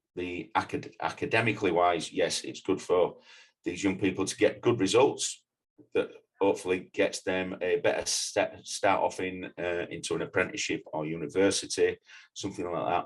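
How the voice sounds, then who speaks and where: A man speaks with a Yorkshire accent. His pace is moderate. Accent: regional Yorkshire. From northern England, Leeds, Yorkshire. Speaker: mountain leader and climbing instructor. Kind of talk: podcast interview. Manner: halting.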